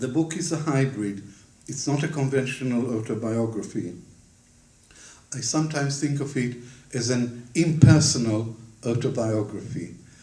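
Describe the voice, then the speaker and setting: With audible room echo, a man in a dark, mellow tone speaks at a moderate pace, somewhat breathy, with ordinary pitch variation and long, frequent pauses. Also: medium pitch for a man. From Israel (Ramat Gan), born in Baghdad; schooled in London from 15. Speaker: historian, author. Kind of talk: book launch talk. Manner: formal.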